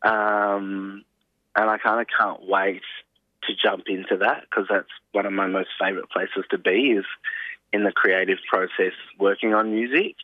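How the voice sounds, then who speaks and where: A man with an Australian accent, at a moderate pace, with very even loudness and long, frequent pauses. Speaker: singer-songwriter and actor. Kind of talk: interview. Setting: phone call.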